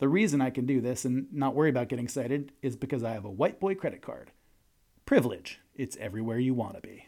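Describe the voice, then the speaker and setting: This man, with an American accent, talks very fast in a dark, mellow tone at a medium pitch with ordinary pitch variation. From New York. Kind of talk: scripted comedic monologue.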